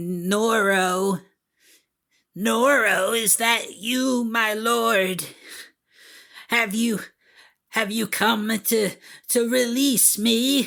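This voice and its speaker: In a put-on character voice with a fairly high pitch, the speaker goes at a very slow pace with long, frequent pauses. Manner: meek, quiet, timid.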